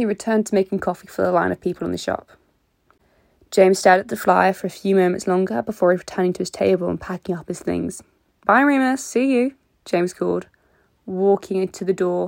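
At a very fast pace, a woman of medium pitch speaks with ordinary pitch variation, the sound dry and close with no echo on a very clean recording with a silent background. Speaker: fanfiction podcast reader. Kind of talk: casual chat; reading aloud. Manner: slurred.

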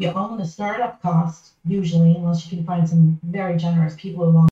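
A woman with an American accent speaks at a moderate pace and fairly low pitch. Her voice is somewhat breathy, with fairly even intonation. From Massachusetts, outside Boston. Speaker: nonprofit consultant. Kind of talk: podcast interview.

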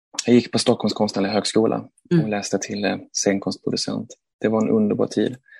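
The sound is dry and close with no echo. The speech moves at a moderate pace. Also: man. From Sweden, Malmö. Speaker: theatre director. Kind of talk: interview. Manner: hesitant, repeats words.

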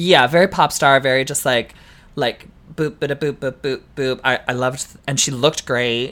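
A woman with a Canadian accent and a very deep, low pitch, at a moderate pace with fairly even intonation and big swings in loudness. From Canada. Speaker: drag queen podcast co-host. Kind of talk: casual chat.

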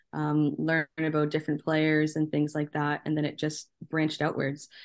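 A woman speaks in a very deep, low voice at a moderate pace. Her intonation is flat and monotone against a quiet background. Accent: Canadian. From Canada. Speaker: soccer journalist. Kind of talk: interview.

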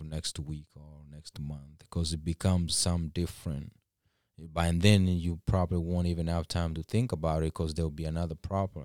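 Very deep, low-pitched man with a Kenyan accent, dark and mellow in tone and monotone, flat in intonation, on a very clean recording with a silent background and a dry, close sound with no echo. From Kisii, Kenya. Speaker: guest sharing personal recovery story. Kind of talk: casual interview, personal testimony.

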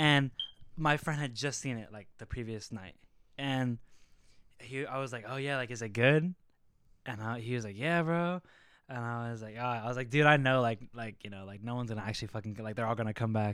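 On a very clean recording with a silent background, a man talks in an ordinary speaking voice at medium pitch and a fairly quick pace, with ordinary pitch variation and big swings in loudness. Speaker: podcast co-host. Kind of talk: casual chat.

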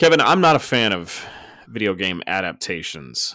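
With an American accent, a man with a bright, sharp tone and vocal fry speaks at a moderate pace in lively intonation, in a very clean recording with a silent background. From Texas Panhandle. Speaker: podcast host, paramedic. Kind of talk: casual chat.

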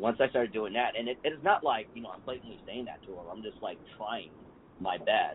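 Lively intonation from a man at medium pitch, with big swings in loudness and noticeable background noise. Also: fairly quick pace. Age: 40s. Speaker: podcast host, IT professional. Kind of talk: casual chat.

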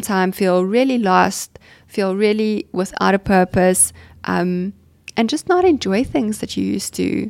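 In a very clean recording with a silent background, a woman with an ordinary speaking voice and a medium pitch talks at a fairly slow pace. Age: 30s. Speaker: clinical psychologist, podcast host. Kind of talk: casual interview.

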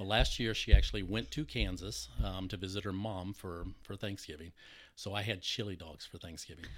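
Speaking with an American accent at a moderate pace, a man with a very deep, low voice and vocal fry shows ordinary pitch variation and big swings in loudness. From US Texas. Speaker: sound engineer. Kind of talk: casual interview chat.

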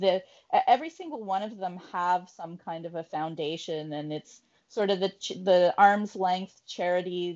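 This woman has a normal speaking voice with a Canadian accent. Her pitch is medium with ordinary variation, and her pace is moderate. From Canada, Ottawa. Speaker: sports radio co-host. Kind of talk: casual chat.

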